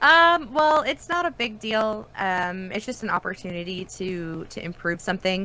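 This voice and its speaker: A woman with a bright, sharp tone, very wide pitch swings and hardly any pauses, on a very clean recording with a silent background. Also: medium pitch for a woman, moderate pace. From Canada, rural Ontario. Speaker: voice actress. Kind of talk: interview. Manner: many fillers, um.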